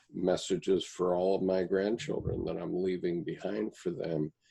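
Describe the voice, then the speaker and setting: A man's very deep, low pitch with a dark, mellow tone and fairly even intonation. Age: 70s. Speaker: Jungian commentator, channel owner. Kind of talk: panel discussion.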